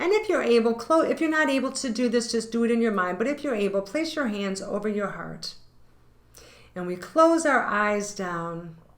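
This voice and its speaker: Amid audible room echo, a woman with a fairly high pitch talks at a moderate pace with lively intonation. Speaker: tarot reader and yoga teacher. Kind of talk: tarot reading and guided intention exercise.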